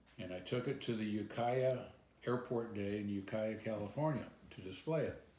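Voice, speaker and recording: With audible room echo behind him, a man speaks at medium pitch and a moderate pace in a dark, mellow tone. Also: ordinary pitch variation. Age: 70s. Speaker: pilot. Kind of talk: interview storytelling.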